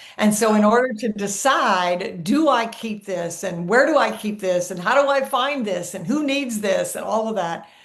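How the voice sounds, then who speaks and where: With lively intonation and hardly any pauses, a woman with a fairly high pitch speaks at a moderate pace amid audible room echo and noticeable background noise. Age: 70s. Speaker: productivity expert. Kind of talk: interview.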